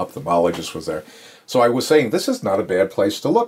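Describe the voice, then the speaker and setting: In an American accent, a man speaks at a medium pitch. His pitch swings very widely. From New York, Long Island. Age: 60s. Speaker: podiatrist. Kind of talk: casual interview. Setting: home office exam room.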